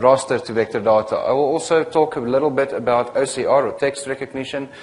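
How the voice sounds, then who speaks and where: With a South African accent, a man talks at a medium pitch with ordinary pitch variation over noticeable background noise. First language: not English. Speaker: software technical consultant and trainer. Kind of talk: lecture. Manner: hesitant, many fillers.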